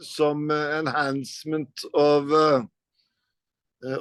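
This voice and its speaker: A man speaks with a Norwegian accent at a fairly high pitch. His intonation is monotone and flat. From Norway. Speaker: rock guitarist. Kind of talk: interview. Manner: halting, many fillers.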